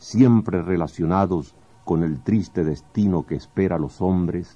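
Speaking at a fairly slow pace, a man has a very deep, low voice with a dark, mellow tone and ordinary pitch variation. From Venezuela. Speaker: poet. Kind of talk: radio commentary on poetry. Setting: radio studio. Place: studio.

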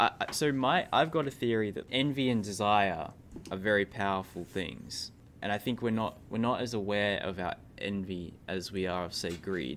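A man with an Australian accent, fairly low-pitched, talking at a moderate pace. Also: ordinary pitch variation. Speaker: podcast host / interviewer. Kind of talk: casual interview chat.

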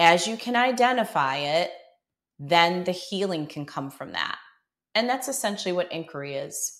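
A woman with an American accent at medium pitch, moderate in pace, with very wide pitch swings and big swings in loudness. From Buffalo, New York. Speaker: yoga teacher. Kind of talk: interview storytelling.

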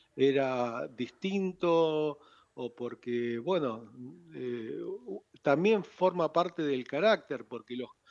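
Against a quiet background, a man speaks at a very slow pace. His pitch is fairly high and his intonation lively. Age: 60s. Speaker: club founder and shopkeeper. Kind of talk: radio interview. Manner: halting. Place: studio. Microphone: studio mic.

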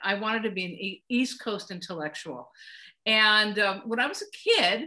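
Over a quiet background, a woman speaks at a moderate pace in a bright, sharp tone. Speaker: guest. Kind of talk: interview answer. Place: home room. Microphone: video call.

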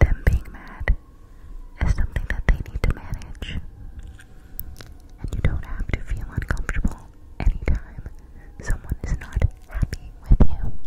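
A woman is whispering. She leaves long, frequent pauses. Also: moderate pace. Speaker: ASMR creator. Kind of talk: soft-spoken ASMR affirmations. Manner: cupped close-mic whisper. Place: home room. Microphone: studio mic.

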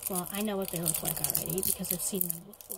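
A soft-spoken woman whispering over loud background noise. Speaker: ASMR creator. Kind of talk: ASMR unboxing and review, casual talk to camera. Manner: whispered, soft-spoken. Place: home room. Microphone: phone near.

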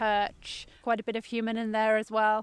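A plain, everyday voice speaks at a fairly slow pace. The recording is very clean with a silent background and a dry, close sound with no echo. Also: woman. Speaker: company founder, ecologist. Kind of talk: field interview. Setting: outdoors by a river.

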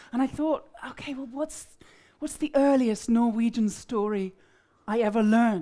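A dark, mellow tone carries ordinary pitch variation at a moderate pace. Long, frequent pauses break it up over a quiet background. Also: woman, fairly high pitch for a woman. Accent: southern English. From East Anglia, England. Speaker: storyteller. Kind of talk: storytelling performance. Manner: animated. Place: hall. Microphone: headset.

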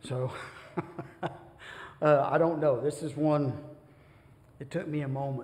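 A man is talking. His speed is very slow. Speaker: bible class teacher. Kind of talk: lecture. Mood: relaxed, light humor. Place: church. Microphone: podium.

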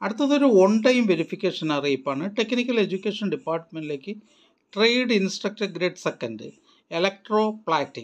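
A man speaks at a fairly quick pace. His voice is high-pitched, with lively intonation.

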